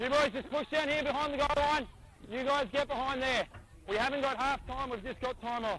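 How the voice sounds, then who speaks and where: Raising and projecting his voice, a man with an extremely high pitch talks at a fairly quick pace and with fairly even intonation, in dry sound with no echo and light background noise. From Australia. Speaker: rugby league referee. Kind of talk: on-field instructions. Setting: outdoors. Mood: firm, authoritative. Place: stadium. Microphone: headset.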